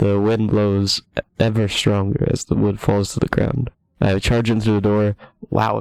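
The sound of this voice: In an unforced reading voice, the speaker is heard over a quiet background.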